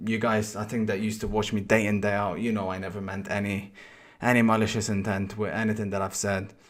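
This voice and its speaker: A man's fairly low voice, monotone and flat, at a fairly quick pace. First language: not English. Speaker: FIFA streamer. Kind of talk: personal video statement. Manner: halting, many repetitions.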